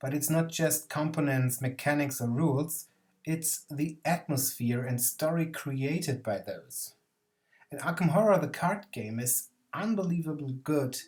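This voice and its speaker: A man with a German accent and a fairly high pitch, speaking fairly slowly over music in the background. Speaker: board game video essayist. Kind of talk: scripted narration.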